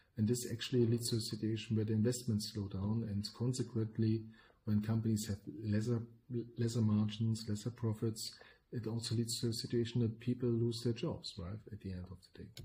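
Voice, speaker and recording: A man with a German accent speaks at a fairly quick pace, his medium-pitched voice somewhat breathy with a dark, mellow tone. His intonation stays monotone and flat. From Germany. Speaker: podcast co-host, business consultant. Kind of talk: podcast discussion.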